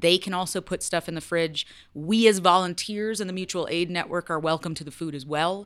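Speaking fairly quickly in a plain, everyday voice, a woman with an American accent uses a fairly low pitch and fairly even intonation, her loudness swinging widely on a very clean recording with a silent background. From Western New York. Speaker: former public radio podcast host, nonprofit volunteer. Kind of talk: casual chat.

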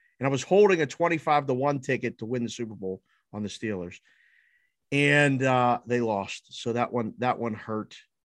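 The speaker has a normal speaking voice with an American accent and lively intonation at a moderate pace. The sound is dry and close with no echo, over a quiet background. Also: man, medium pitch for a man. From Pittsburgh, Pennsylvania. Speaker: sports betting odds maker. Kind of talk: casual chat. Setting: studio.

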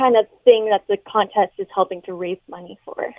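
The woman's pitch sits fairly high and varies in an ordinary way. She has a plain, everyday voice and keeps a moderate pace. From London, Ontario, Canada. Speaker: dietitian and fitness instructor. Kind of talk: radio interview.

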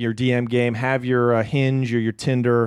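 A man with an American accent has an ordinary speaking voice at medium pitch, talking at a moderate pace with a dry, close sound with no echo and a quiet background. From Portland, Oregon. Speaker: stand-up comedian. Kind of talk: casual chat. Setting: studio.

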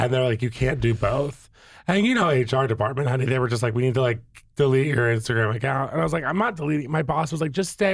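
A man with an American accent at a very fast pace, fairly high pitched and somewhat breathy, with lively intonation, an animated tone and very even loudness. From Virginia. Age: 30s. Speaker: influencer and reality TV personality. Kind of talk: casual chat.

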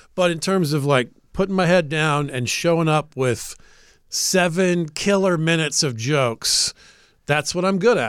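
A man with an American accent uses a plain, everyday voice at fairly high pitch, moderate pace and ordinary pitch variation. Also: very clean recording, silent background. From US South, Atlanta, Georgia. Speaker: comedian and radio show regular. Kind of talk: casual chat. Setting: studio.

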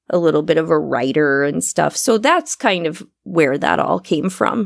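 A woman at a fairly low pitch and fairly slow pace, in a very clean recording with a silent background. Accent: Upper Midwest. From US Midwest, Iowa. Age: 40s. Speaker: podcast host. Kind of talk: casual interview. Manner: over-enunciates.

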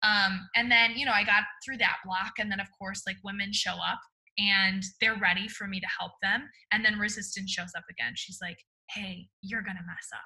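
A woman speaks at a moderate pace with a bright, sharp tone. Her loudness swings widely from moment to moment. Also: medium pitch for a woman, fairly even intonation. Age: 20s. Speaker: author and speaker. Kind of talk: interview conversation.

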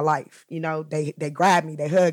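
A woman's very deep, low voice with fairly even intonation, on a very clean recording against a silent background. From US West Coast, Compton, Los Angeles. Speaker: foster care youth advocate. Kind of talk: personal testimony interview. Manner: laughs while talking.

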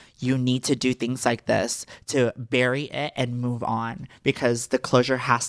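Monotone, flat intonation with an American accent, recorded dry and close with no echo. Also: woman. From Texas. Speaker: social media personality. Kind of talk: casual chat.

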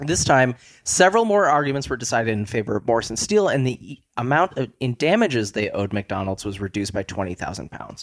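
A man with an American accent talks very fast at a medium pitch, with hardly any pauses. His pitch swings very wide and his loudness swings greatly, in a dry, close sound with no echo. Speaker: podcast guest. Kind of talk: casual chat.

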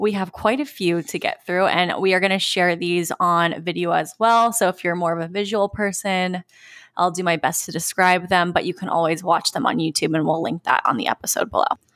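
An ordinary speaking voice from a woman, fairly low in pitch with ordinary pitch variation, at a fairly quick pace in a dry, close sound with no echo. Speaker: podcast host. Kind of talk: casual chat.

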